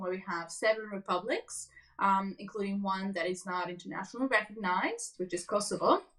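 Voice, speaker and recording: With a Serbian accent, a woman talks at a fairly quick pace and medium pitch, with fairly even intonation and hardly any pauses. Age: 20s. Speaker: refugee interviewee. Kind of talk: casual interview chat.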